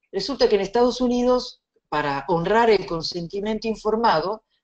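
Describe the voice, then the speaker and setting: A woman speaks with a slight Italian accent at a moderate pace. Her pitch swings very widely. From Italy. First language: Italian (speaking Spanish). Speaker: bioethics lecturer. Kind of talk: lecture.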